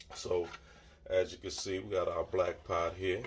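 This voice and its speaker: A man at a moderate pace, in a Southern Louisiana accent. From Lafayette, Southwest Louisiana. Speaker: home cook. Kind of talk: casual cooking tutorial to camera.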